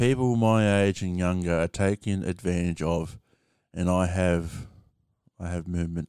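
With a strong Australian accent, a man speaks at a very deep, low pitch in a dark, mellow tone with fairly even intonation, on a very clean recording with a silent background. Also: moderate pace. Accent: broad Australian. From Australia, rural small town. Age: 30s. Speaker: podcast host. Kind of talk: casual livestream monologue. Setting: TikTok live stream with podcast recording. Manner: halting, filler-heavy.

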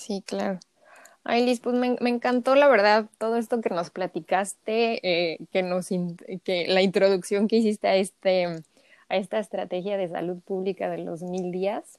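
Here is a woman with a plain, everyday voice at medium pitch, speaking at a fairly slow pace with ordinary pitch variation. The recording is very clean and silent in the background, with a dry, close sound and no echo. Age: 30s. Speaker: podcast host, holistic health coach. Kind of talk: casual interview.

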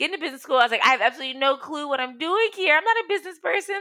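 In an American accent, a raised, projected voice sounds animated, its pitch swinging very widely. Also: woman. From US, outside Washington DC (Ghanaian parents). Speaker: entrepreneur, co-founder of women's platform. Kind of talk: casual interview.

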